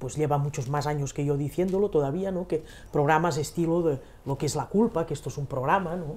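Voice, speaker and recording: A woman's very deep, low voice with a Catalan accent, animated tone, ordinary pitch variation and fairly quick pace, on a very clean recording with a silent background. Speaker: spiritual teacher. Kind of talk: casual conversation. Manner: animated, with many hesitations.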